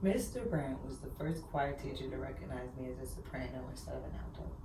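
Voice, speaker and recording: Amid noticeable background noise and audible room echo, a woman speaks fairly quickly. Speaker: podcast guest. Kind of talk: casual chat. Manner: loud.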